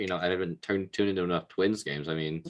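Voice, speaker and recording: A quiet man's voice at a very fast pace. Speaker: sports card podcast co-host. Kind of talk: casual chat. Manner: quieter.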